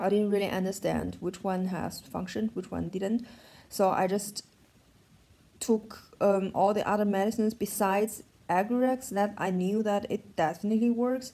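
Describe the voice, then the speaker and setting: A woman with a German accent speaks in a dark, mellow tone at medium pitch, with fairly even intonation and a moderate pace. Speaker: vlogger. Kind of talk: personal vlog update. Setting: in bed at home. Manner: halting.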